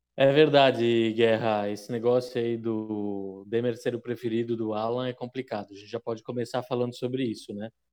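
Speaking at a moderate pace with hardly any pauses, a man keeps a monotone, flat intonation while his loudness swings widely. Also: medium pitch for a man. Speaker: podcast co-host commentator. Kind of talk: casual banter.

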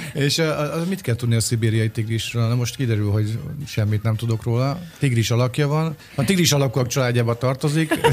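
With noticeable background noise behind him, a man talks at a fairly quick pace in a very even loudness. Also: medium pitch for a man, ordinary pitch variation. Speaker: radio morning show co-host. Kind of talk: casual chat. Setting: studio.

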